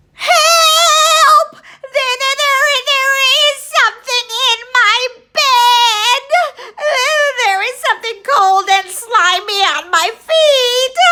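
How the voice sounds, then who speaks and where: A put-on character voice shouts at an extremely high pitch. The pace is very slow, with long, frequent pauses. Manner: screaming, panicked.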